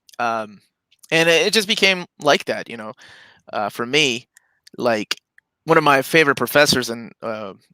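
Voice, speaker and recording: A man with a medium pitch and a bright, sharp tone talks at a moderate pace with lively intonation and big swings in loudness. Long, frequent pauses break up the dry, close sound, which has no echo. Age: 40s. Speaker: comic book collector and YouTuber. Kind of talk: casual chat. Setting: live stream.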